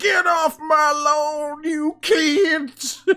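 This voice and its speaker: This is a put-on character voice. The pitch is high. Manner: grumpy, shouting.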